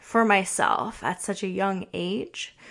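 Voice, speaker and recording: Very slow and with fairly even intonation, a woman talks at a medium pitch. The background is quiet. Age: 30s. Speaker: kinesiologist and prenatal fitness coach, podcast host. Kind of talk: personal storytelling monologue.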